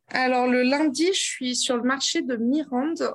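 A woman's high-pitched voice. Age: 30s. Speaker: traveling grocer, former ecology researcher. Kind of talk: interview.

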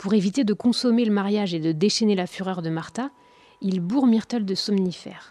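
A woman speaks in a dark, mellow, dramatic tone at medium pitch with ordinary pitch variation. The recording is very clean with a silent background. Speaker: podcast narrator and host. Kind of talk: true-crime narration, scripted storytelling. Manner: grave, measured, dramatic storyteller.

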